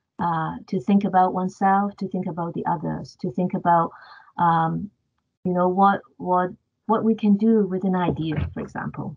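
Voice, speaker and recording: A woman with a Cantonese accent speaks somewhat breathily at medium pitch and a moderate pace, her intonation fairly even. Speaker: professor. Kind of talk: panel discussion. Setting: video call.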